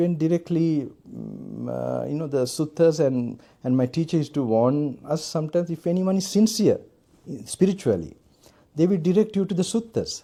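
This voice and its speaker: A man's fairly high voice with a Sri Lankan accent, dark, mellow tone and lively intonation, at a moderate pace, in a very clean recording with a silent background. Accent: non-American, Sri Lankan English. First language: Sinhala. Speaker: Buddhist monk and meditation teacher. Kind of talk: dharma talk at meditation retreat. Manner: halting, with many fillers.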